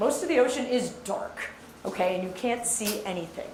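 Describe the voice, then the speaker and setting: A woman speaks loudly with ordinary pitch variation. Audible room echo and noticeable background noise are present. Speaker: marine geologist. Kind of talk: lecture.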